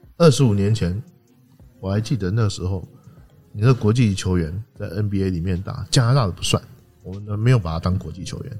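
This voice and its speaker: A man with fairly low pitch, long, frequent pauses and big swings in loudness, music in the background. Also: ordinary pitch variation, moderate pace. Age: 40s. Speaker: basketball writer and podcast host. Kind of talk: casual chat.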